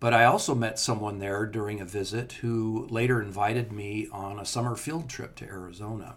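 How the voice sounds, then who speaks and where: The speaker has a Californian accent, a fairly quick pace, fairly even intonation, a somewhat breathy sound and hardly any pauses. Loudness swings widely in a very clean recording with a silent background. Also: man, medium pitch for a man. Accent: General American (Californian). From Southern California. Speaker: entomologist and author. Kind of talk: interview, casual chat.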